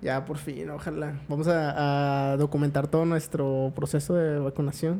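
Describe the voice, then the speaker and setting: A fairly slow pace in a Mexican accent. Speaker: podcast co-host. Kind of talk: casual chat.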